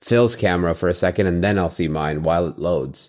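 A very clean recording with a silent background captures a man with a very deep, low pitch. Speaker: podcast co-host. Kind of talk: casual chat.

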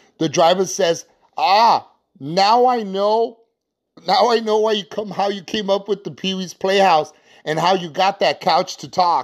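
A man speaks slowly-ish, at a fairly slow pace with a high pitch. His ordinary pitch variation comes through a very clean recording with a silent background. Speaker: podcast host and limo driver storyteller. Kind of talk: storytelling narration.

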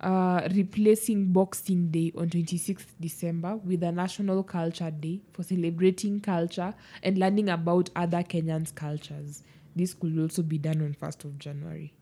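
Somewhat breathy, a woman speaks at a moderate pace. Her pitch is fairly low, with fairly even intonation. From Kenya. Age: 20s. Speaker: podcast co-host. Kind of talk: casual chat.

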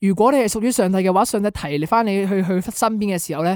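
Speech comes at a very fast pace on a very clean recording with a silent background. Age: young. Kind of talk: religious talk explaining song lyrics.

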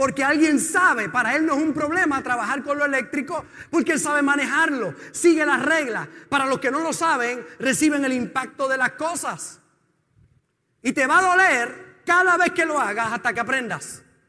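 A man with an extremely high pitch uses a raised, projected voice, bright and sharp in tone, at a moderate pace. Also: ordinary pitch variation. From Puerto Rico. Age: 50s. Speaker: pastor. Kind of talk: sermon.

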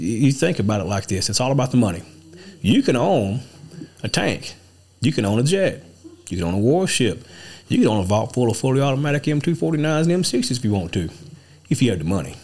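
With an East Texas accent, a man speaks at a medium pitch, his voice swinging very widely up and down. He leaves long, frequent pauses. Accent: East Texas drawl. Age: 40s. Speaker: political candidate and trucking business owner. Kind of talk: casual political chat.

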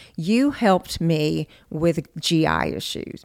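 A Southern US accent in a very clean recording with a silent background. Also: woman. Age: 50s. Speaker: chef and podcast host. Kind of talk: casual interview chat.

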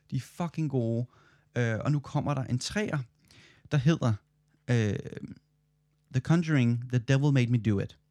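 A man's dark, mellow tone at a fairly slow pace, broken by long, frequent pauses. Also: medium pitch for a man, ordinary pitch variation, dry, close sound with no echo. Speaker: podcast co-host, student. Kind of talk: casual chat.

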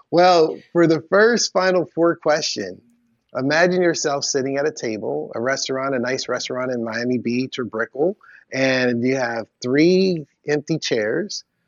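Here is a man with an unremarkable speaking voice and a fairly high pitch. He talks at a fairly slow pace with lively intonation. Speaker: podcast co-host. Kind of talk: interview conversation.

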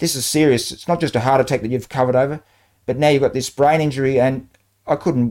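The recording is very clean, with a silent background. A man with an Australian accent talks at a very fast pace in a dark, mellow tone. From Australia, New South Wales. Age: 60s. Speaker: retired banker. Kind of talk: interview, life story.

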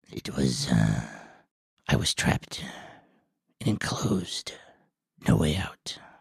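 A man puts on a character voice, very deep and raspy, speaking quietly at a fairly slow pace with long, frequent pauses. His pitch swings very widely, and the sound is dry and close with no echo. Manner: quiet, halting, withdrawn.

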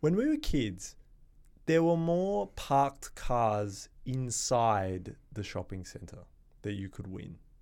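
Very slowly, a man speaks at a medium pitch, with very wide pitch swings and big shifts in loudness. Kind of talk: casual comedy chat.

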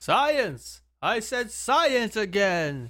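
A put-on character voice sits at a fairly high pitch on a very clean recording with a silent background. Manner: goofy, exaggerated.

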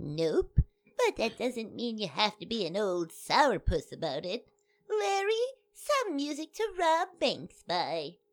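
Putting on a character voice, a woman speaks at a fairly high pitch with very wide pitch swings. Her pace is fairly slow. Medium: audio drama. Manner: sweetly folksy and cheeky.

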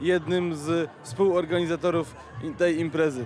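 There is noticeable background noise behind a man speaking at a fairly high pitch. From Poland. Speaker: festival co-organizer. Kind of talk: interview. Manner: hesitant, many fillers.

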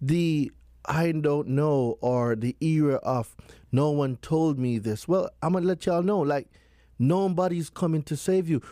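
A man speaks at a fairly slow pace in a dark, mellow tone with ordinary pitch variation and very even loudness. The recording is very clean, with a silent background. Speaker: consumer law expert. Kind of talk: interview explaining consumer law. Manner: animated.

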